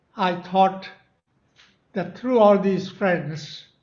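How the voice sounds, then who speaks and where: There is audible room echo around a man's voice. His pitch is high and his intonation monotone and flat. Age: 90s. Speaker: memoir author. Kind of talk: speech.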